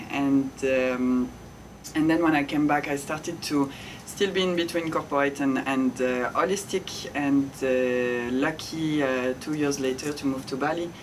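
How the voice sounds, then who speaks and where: With a French accent, a woman speaks at a fairly slow pace in a very deep, low pitch and fairly even intonation over noticeable background noise. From France. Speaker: ice bath facilitator and yoga teacher. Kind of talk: interview conversation.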